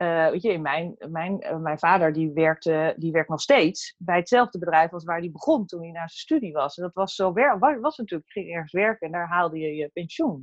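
A woman with a normal speaking voice talks at a moderate pace in a fairly low pitch. Her pitch variation is ordinary, but her loudness swings widely. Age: 40s. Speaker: workplace happiness consultant and coach. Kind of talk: casual interview. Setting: video call.

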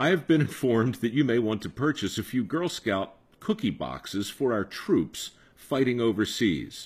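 On a very clean recording with a silent background, a man speaks at medium pitch with vocal fry. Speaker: podcast host.

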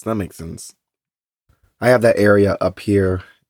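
Dry and close with no echo, a man with a Texan accent speaks fairly slowly at a fairly low pitch with fairly even intonation. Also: very clean recording, silent background. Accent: Texan American English. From Texas. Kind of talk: casual chat.

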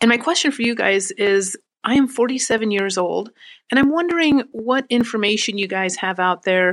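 A woman's unremarkable speaking voice at a moderate pace, with lively intonation. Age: 40s. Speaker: listener leaving a voicemail question. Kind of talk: recorded voicemail question.

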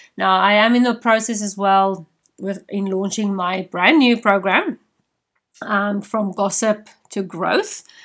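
A woman with a South African accent and fairly even intonation, in a very clean recording with a silent background. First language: Afrikaans. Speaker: podcast host and leadership coach. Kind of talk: solo podcast monologue.

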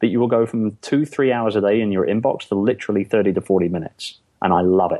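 A man speaks very fast with an English accent. His pitch is fairly low and his loudness very even. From London, England. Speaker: entrepreneur, outsourcing business owner. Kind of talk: interview.

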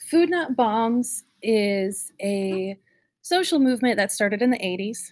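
A woman has an ordinary speaking voice with a fairly high pitch and talks at a fairly slow pace. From North Carolina (Raleigh area). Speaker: community organizer. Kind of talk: interview.

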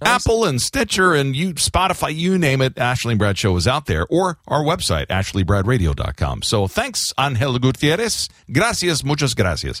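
A man's fairly high voice with very wide pitch swings, hardly any pauses, very even loudness and a moderate pace. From Florida. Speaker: radio host. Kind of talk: casual chat. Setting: studio.

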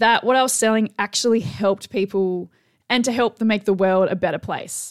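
A woman speaks with an Australian accent on a very clean recording with a silent background. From Tasmania, Australia. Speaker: business coach and podcast host. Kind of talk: solo podcast monologue. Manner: casual, conversational with fillers.

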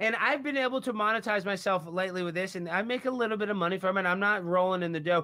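With an American accent, a raised, projected voice rushes at a very fast pace with hardly any pauses and ordinary pitch variation. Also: man. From Texas. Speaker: comedian and prankster. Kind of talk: casual chat. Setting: podcast interview.

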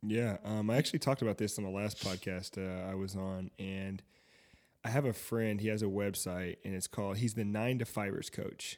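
A man's ordinary speaking voice with an American accent, fairly low in pitch, at a moderate pace with fairly even intonation, on a very clean recording with a silent background. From US South, Fayetteville, North Carolina. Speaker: tech entrepreneur and DJ. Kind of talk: casual chat.

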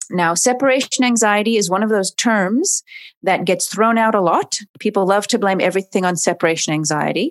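With an American accent, a woman speaks at a moderate pace with ordinary pitch variation and an unremarkable speaking voice, in a very clean recording with a silent background. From US West Coast, Oregon. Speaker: dog trainer and animal behaviorist. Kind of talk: casual interview.

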